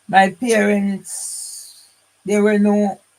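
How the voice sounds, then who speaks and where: A high-pitched man with a Jamaican accent. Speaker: vlogger telling family history. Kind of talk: personal monologue. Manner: rambling, halting.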